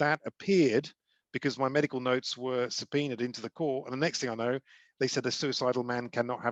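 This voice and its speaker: With a British accent, a man talks at a very fast pace and medium pitch with fairly even intonation, the sound dry and close with no echo over a quiet background. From UK. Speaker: charity ambassador and former CEO. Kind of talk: talk to a group.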